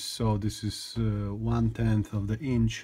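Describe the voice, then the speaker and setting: A man is speaking. He has a non-native accent. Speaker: gun hobbyist video maker. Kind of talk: tutorial. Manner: halting, many fillers and repetitions.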